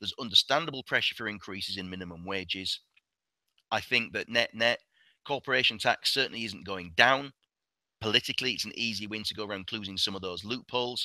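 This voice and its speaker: This man talks at a very fast pace with a British accent, a bright, sharp tone and a fairly low pitch. His pitch varies an ordinary amount, his loudness swings widely, and the sound is dry and close with no echo. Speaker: investment director presenting a webinar. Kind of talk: webinar presentation with Q&A. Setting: online webinar.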